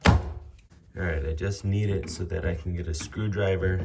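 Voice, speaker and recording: With music in the background, a man with a very deep, low pitch talks at a fairly slow pace and fairly even intonation. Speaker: home repair tradesman. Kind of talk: tutorial. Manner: casual, with fillers.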